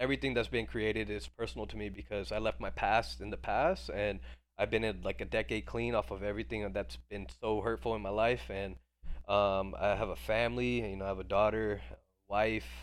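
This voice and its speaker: The speaker talks at a fairly quick pace with very wide pitch swings and vocal fry, over a quiet background. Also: man, fairly low pitch for a man. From India, moved to US at age three. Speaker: entrepreneur and Web3 project creator. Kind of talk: casual chat. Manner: animated; fast, with many fillers and restarts.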